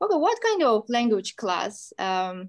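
A woman with a Turkish accent. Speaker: English teacher hosting school program. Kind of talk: school radio interview. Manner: formal.

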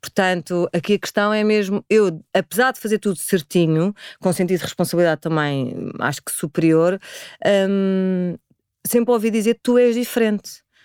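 In a very clean recording with a silent background and a dry, close sound with no echo, a woman talks at a moderate pace in an unremarkable speaking voice, her medium pitch showing ordinary variation. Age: 40s. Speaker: spiritual practitioner. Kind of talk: interview conversation.

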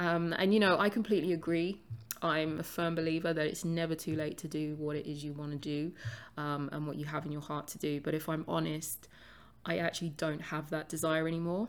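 In a London accent, a woman with a very deep, low pitch talks at a fairly quick pace with fairly even intonation, on a very clean recording with a silent background. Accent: London English, UK. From London, England. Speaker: podcast host and author.

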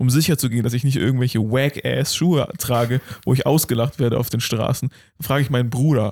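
A man at medium pitch talks very fast with fairly even intonation, in a dry, close sound with no echo. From Germany. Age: 20s. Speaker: podcast host. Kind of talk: casual chat.

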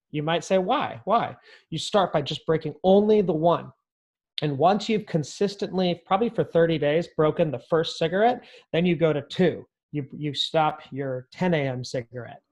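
Against a quiet background, a man with a high voice talks at a moderate pace in an American accent. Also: ordinary pitch variation. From US West, northern California. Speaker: entrepreneur, real estate agent. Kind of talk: casual interview chat. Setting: remote call with headphones.

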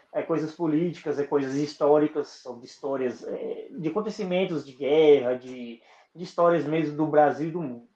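In a dark, mellow tone, a man's voice moves along at a moderate pace. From Brazil, western Bahia (Northeast). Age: 20s. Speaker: podcaster. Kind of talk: casual interview chat.

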